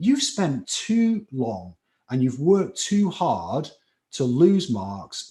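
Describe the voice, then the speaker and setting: Over a quiet background, a man with a slight Scouse accent speaks at a fairly slow pace in a dark, mellow tone with lively intonation. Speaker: chemistry tutor. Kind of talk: live online lecture. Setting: live stream class. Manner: animated.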